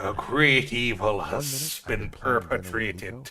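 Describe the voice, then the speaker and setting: A man's put-on character voice at medium pitch, fairly slow pace and ordinary pitch variation. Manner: solemn, warning of evil.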